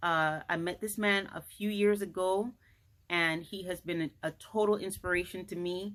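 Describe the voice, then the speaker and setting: Here is a woman with an unremarkable speaking voice, a medium pitch and fairly even intonation at a moderate pace. The recording is very clean, with a silent background. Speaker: talk show host. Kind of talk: interview host talk.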